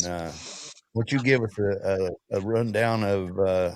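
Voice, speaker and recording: Fairly low in pitch, a man speaks in a plain, everyday voice at a fairly slow pace with fairly even intonation. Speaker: podcast host. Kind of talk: casual podcast interview.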